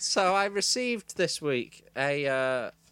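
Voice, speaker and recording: A man with a Manchester accent talks at a very slow pace and a fairly high pitch. His intonation is lively. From Manchester, England. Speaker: podcast co-host. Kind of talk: casual chat.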